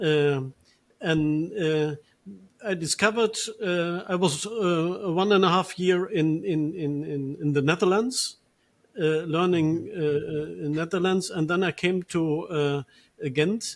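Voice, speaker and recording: Speaking with a German accent, a man uses a high pitch and ordinary pitch variation at a fairly slow pace. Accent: German accent in Dutch. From Germany, Ruhr Valley. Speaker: priest. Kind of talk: interview. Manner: halting, many fillers.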